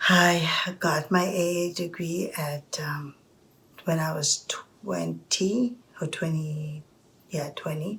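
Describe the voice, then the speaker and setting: With long pauses coming often, the delivery is very slow. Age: 60s. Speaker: storyteller. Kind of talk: personal storytelling. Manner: halting.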